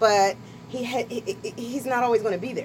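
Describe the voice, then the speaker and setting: A woman speaks at a fairly quick pace with ordinary pitch variation. Noticeable background noise runs underneath. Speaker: author. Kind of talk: casual radio interview. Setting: radio studio.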